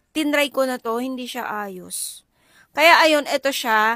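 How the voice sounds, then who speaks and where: A high-pitched woman's voice with ordinary pitch variation, on a very clean recording with a silent background. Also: dry, close sound with no echo. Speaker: content creator. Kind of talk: product review vlog. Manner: casual, chatty.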